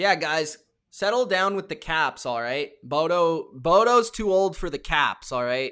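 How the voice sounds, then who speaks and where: A man shouts loudly in a high, bright, sharp voice with lively intonation and an animated tone. The background is quiet. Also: fairly slow pace. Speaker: NFL live stream host. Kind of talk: live reaction stream, reading chat. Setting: live stream. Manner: loud, yelling.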